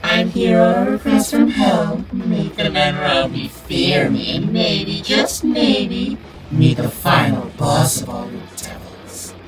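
A put-on character voice speaks fairly slowly, with a slight echo and loud background noise. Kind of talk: comic overacting. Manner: grandiose, mock-seductive, menacing.

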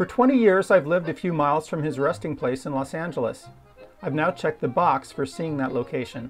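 Music plays in the background as the speaker talks at a fairly quick pace. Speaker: narrator recalling childhood. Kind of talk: documentary narration.

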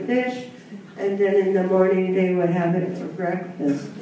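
There is strong room echo and light background noise as a woman talks with fairly even intonation. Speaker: panelist. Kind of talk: personal storytelling talk. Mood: reflective, warm, slightly wistful. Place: hall.

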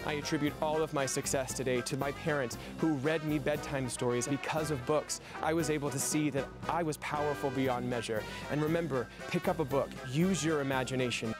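A man talks at a fairly quick pace, his pitch fairly high, with fairly even intonation and very even loudness. The sound is dry with no echo, and clear music plays in the background. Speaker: circus ringmaster. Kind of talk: public service message to children.

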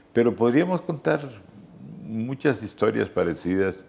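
A man at a fairly slow pace, with very wide swings in pitch. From Costa Rica, San José. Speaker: journalist and radio veteran. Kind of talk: interview. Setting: at his home. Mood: warm, reminiscing. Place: home room. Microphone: lapel.

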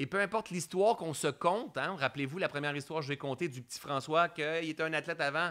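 A man's animated tone at a fairly quick pace, on a very clean recording with a silent background. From Quebec, Sherbrooke. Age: 40s. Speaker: mindfulness coach. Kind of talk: live-streamed coaching talk. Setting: Facebook live stream.

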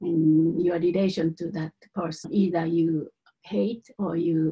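A somewhat breathy voice with a non-native accent, fairly slow pace and ordinary pitch variation, over light background noise. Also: woman. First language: not English. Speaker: Buddhist teacher. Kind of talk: teaching. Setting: live teaching to a group. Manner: halting, hesitant with fillers. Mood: calm, gentle. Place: home room. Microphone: webcam.

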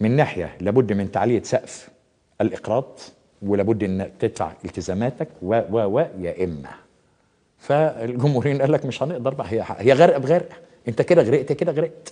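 A man at a moderate pace, pitch swinging very widely, against a quiet background. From Egypt. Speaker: journalist and international affairs editor; journalist. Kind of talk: TV talk show interview. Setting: studio. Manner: animated. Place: studio. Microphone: lapel.

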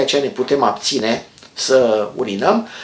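A man's voice carries an audible room echo. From Romania. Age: 50s. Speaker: health educator, former doctor; health educator. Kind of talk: health tutorial. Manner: calm explanatory. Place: home room. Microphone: phone near.

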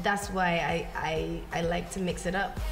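A woman is speaking. Clear music plays in the background. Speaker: interviewee. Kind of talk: interview answer. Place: home room.

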